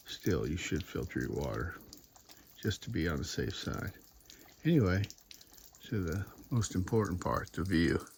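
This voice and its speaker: A man's very deep, low voice at a moderate pace, with very wide pitch swings. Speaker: hiking vlogger. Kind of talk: casual vlog narration. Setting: outdoors on a hiking trail. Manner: whispering.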